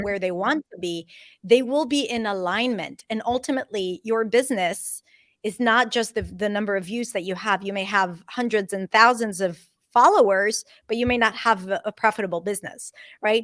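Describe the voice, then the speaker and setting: This woman has a normal speaking voice, a fairly high pitch, ordinary pitch variation and a moderate pace. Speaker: accent and pronunciation coach. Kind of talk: interview answer.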